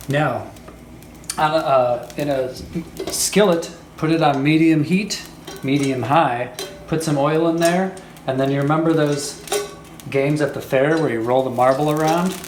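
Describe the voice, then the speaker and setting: Music plays in the background as a man with a fairly high pitch speaks in a playful tone, with fairly even intonation, long, frequent pauses and audible room echo. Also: moderate pace. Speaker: home cooking show host. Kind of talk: cooking tutorial. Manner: casual, playful.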